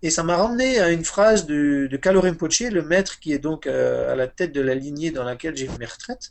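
A man's normal speaking voice, fairly high in pitch, with lively intonation, a fairly quick pace and hardly any pauses. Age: 40s. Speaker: Buddhist meditation teacher. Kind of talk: interview about meditation.

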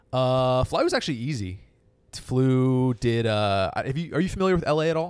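Over a silent background in a very clean recording, a man with an American accent and a plain, everyday voice talks at medium pitch and a fairly quick pace with lively intonation. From Northern California, San Francisco area. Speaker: comedian. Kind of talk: casual chat.

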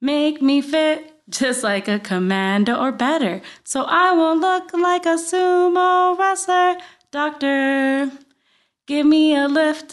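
Speaking very slowly, a woman uses a high voice with lively intonation. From Puerto Rico (Guaynabo). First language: Spanish. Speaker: podcast host and writer. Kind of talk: casual chat. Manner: laughs often.

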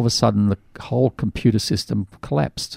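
A man with an Australian accent talks at a fairly quick pace in a fairly low, dark, mellow voice. Vocal fry runs through his speech, and the sound is dry and close with no echo. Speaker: radio host. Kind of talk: casual chat. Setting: studio.

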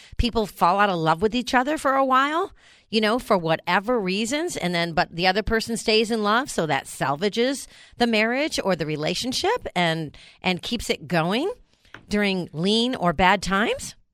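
Heard in a very clean recording with a silent background, a woman with an American accent speaks at medium pitch. Her pitch swings very widely at a moderate pace. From New York. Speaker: radio host. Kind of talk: casual chat.

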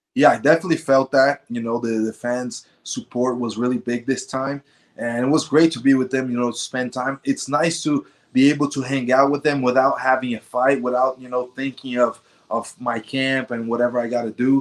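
In a normal speaking voice, a man talks at a moderate pace and a medium pitch with fairly even intonation. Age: 20s. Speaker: mixed martial arts fighter. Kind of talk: interview.

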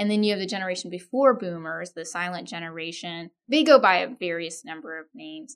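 An ordinary speaking voice from a woman with an American accent, fairly low in pitch, at a fairly quick pace with hardly any pauses and big swings in loudness, on a very clean recording with a silent background. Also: ordinary pitch variation. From Texas, Austin; parents from India. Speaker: organization development consultant and author. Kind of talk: interview.

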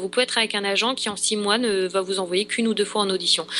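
A woman with a bright, sharp tone, talking very fast with fairly even intonation. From France. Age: 20s. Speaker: aspiring actress. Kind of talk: interview. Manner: halting.

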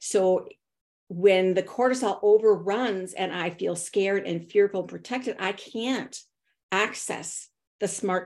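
Speaking at a fairly slow pace with vocal fry and a medium pitch, a woman is heard in a very clean recording with a silent background. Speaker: author and consultant. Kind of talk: interview conversation.

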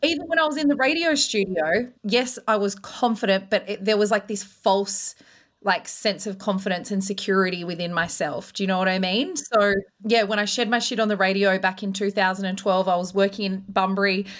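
On a very clean recording with a silent background, a woman talks at a fairly quick pace in a medium pitch with ordinary pitch variation. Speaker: confidence coach and former radio host. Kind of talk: interview conversation. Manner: confident, unfiltered.

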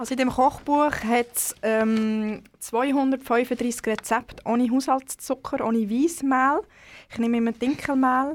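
At a very slow pace, a woman speaks in a high pitch with fairly even intonation over a very clean recording with a silent background. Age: 30s. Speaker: cookbook author. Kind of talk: casual interview.

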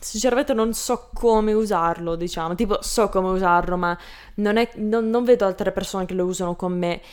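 A woman with a medium-pitched voice and ordinary pitch variation speaks at a fairly quick pace on a very clean recording with a silent background. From Canada, Lebanese family. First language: English (speaking Italian). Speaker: Italian learner, YouTuber. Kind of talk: interview. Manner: halting.

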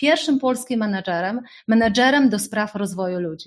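Her pace is fairly quick and her voice somewhat breathy. The woman's pitch is fairly high, with ordinary pitch variation. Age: 40s. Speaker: life coach. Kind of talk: webinar talk. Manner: animated.

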